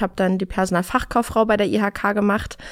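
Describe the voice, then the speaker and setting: Here is a plain, everyday voice. The pace is moderate. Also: woman. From Berlin, Germany. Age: 30s. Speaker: recruiter. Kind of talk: interview.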